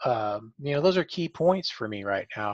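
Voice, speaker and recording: The sound is dry and close with no echo. The speech moves at a moderate pace with lively intonation. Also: man. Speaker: trader. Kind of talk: testimony. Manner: halting, effortful speech.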